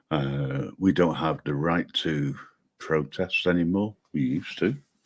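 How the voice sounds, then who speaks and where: A man with a British accent and fairly even intonation. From Britain. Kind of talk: casual chat. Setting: live stream. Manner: hesitant, many fillers.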